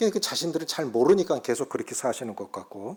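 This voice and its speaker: This man's voice sits fairly high in pitch. It moves through very wide pitch swings. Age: 60s. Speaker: pastor. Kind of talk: sermon.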